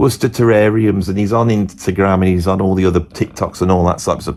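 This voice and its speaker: A man with a Birmingham accent talks at a fairly quick pace against noticeable background noise. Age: 50s. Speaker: musician and guitar teacher. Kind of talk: casual monologue.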